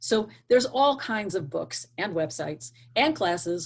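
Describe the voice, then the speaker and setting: Recorded very cleanly against a silent background, a woman with vocal fry and a medium pitch speaks in an animated tone at a fairly slow pace. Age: 60s. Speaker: career coach / hiring expert. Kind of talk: interview advice.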